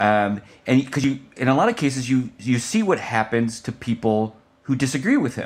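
On a very clean recording with a silent background, the speech moves at a moderate pace. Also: man. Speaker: political journalist and author. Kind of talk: interview. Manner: halting, many filler words.

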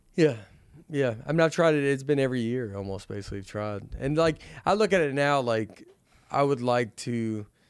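A man with a Southern US accent speaks at a moderate pace in a medium pitch, his intonation lively. The recording is very clean, with a silent background. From US South. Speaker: comedian. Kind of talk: casual chat.

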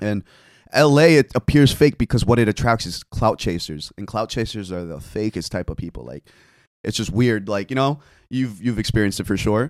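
A man with a normal speaking voice talks at a fairly quick pace and fairly low pitch, his loudness swinging widely. The sound is dry and close, with no echo. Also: lively intonation. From New Jersey (Fort Lee), born in Korea. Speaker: bartender and content creator. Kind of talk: casual chat.

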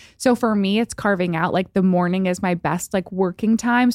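A woman with a normal speaking voice talks at a moderate pace, using a medium pitch with ordinary variation. The recording is very clean with a silent background, and the sound is dry and close with no echo. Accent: American. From upstate New York. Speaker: model and skincare entrepreneur. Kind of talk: casual interview chat.

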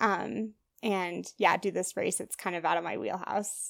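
Recorded very cleanly against a silent background, a woman with an American accent speaks at a medium pitch with vocal fry and ordinary pitch variation. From US Midwest, Wisconsin. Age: 20s. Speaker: ultrarunner. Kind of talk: interview.

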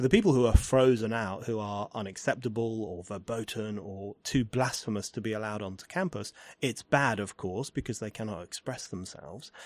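In an English accent, a man speaks at a fairly quick pace with hardly any pauses, his fairly low voice showing ordinary pitch variation and big swings in loudness, on a very clean recording with a silent background. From England. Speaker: podcast host and writer. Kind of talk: interview conversation. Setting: in person at a university.

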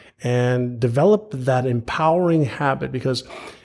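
A man with an ordinary speaking voice talks at medium pitch with lively intonation. The recording is very clean, its background silent. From Montreal, Canada (born in Israel). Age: 50s. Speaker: author and entrepreneur. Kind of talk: interview conversation. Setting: live podcast in person.

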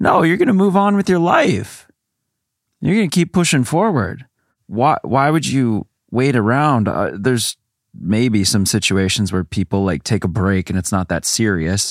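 A man's medium-pitched voice at a moderate pace, with very wide pitch swings and very even loudness, dry and close with no echo, on a very clean recording over a silent background. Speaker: guest co-host. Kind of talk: casual chat.

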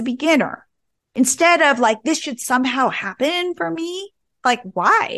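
Pitch swings very widely across this moderate-paced speech. The background stays quiet. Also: woman. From New Jersey. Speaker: entrepreneur. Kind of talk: interview.

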